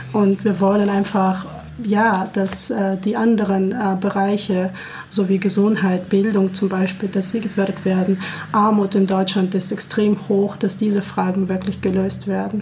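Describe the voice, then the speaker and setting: A woman speaks at a fairly slow pace in a medium pitch, her volume very even. Her intonation stays monotone and flat, with noticeable background noise behind her. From Kazakhstan. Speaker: peace organization staff. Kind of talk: radio interview. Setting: radio studio.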